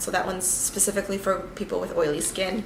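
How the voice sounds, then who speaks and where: Over noticeable background noise and audible room echo, a woman speaks very fast at a medium pitch. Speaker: makeup vlogger. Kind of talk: tutorial. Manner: casual, filler-heavy.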